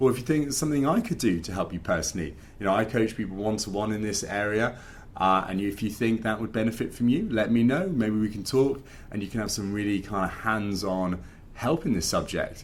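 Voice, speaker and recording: A man speaks at a fairly quick pace, his fairly low pitch showing ordinary pitch variation. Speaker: finance podcast host and coach. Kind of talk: casual talk to camera. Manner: animated.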